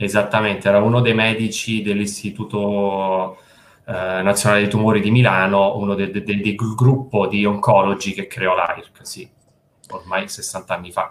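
This man's fairly low voice stays monotone and flat as he talks at a moderate pace. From central Italy, province of Frosinone (Lazio). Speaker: fundraising and marketing manager at a charity. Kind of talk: video call interview. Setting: video call from home. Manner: calm.

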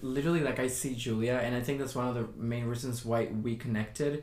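A man speaks with a Spanish accent. His pitch is medium and his intonation fairly even. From New York. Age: 20s. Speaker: podcast guest. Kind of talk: casual chat.

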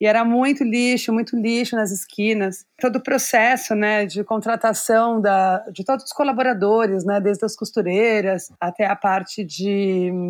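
With a normal speaking voice, a woman talks at a fairly high pitch and ordinary pitch variation on a very clean recording with a silent background. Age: 40s. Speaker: fashion designer and inclusive fashion educator. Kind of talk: interview.

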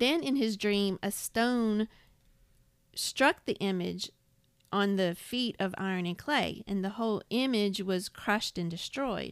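A woman speaks at a fairly slow pace in a normal speaking voice, her medium pitch moving with ordinary variation. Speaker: podcast co-host. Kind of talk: Bible study discussion. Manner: reads scripture aloud.

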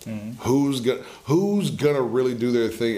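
With an American accent, a man speaks at a medium pitch and a moderate pace, his pitch varying in an ordinary way. Audible room echo and noticeable background noise are present. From US South. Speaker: musician. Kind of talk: casual chat.

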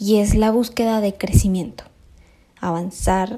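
In a very clean recording with a silent background, a woman with a strong Colombian accent speaks at a fairly slow pace in a dark, mellow tone. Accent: Colombian, still strong. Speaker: podcast host. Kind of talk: personal reflective monologue.

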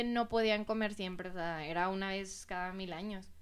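Moderately paced speech from a woman, with audible room echo. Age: 20s. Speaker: dessert shop owner. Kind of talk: casual interview chat.

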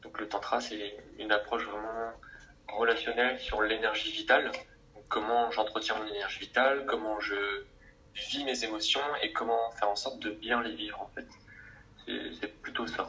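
Music plays in the background as a man with a medium pitch speaks at a moderate pace. His intonation is monotone and flat, with long, frequent pauses. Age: 20s. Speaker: coach and therapist. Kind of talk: interview. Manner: relaxed.

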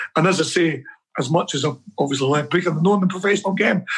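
Speaking very fast with a Scottish accent, a man uses a high pitch and ordinary pitch variation. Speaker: football coach. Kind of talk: casual interview.

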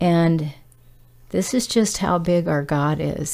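Noticeable background noise runs under the recording. A woman speaks at a very slow pace. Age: 60s. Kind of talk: casual testimony.

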